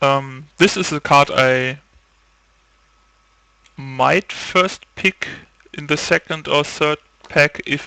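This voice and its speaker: A man speaks with a non-native accent. His pace is very slow, with long, frequent pauses. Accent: heavy non-native. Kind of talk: casual game review talk.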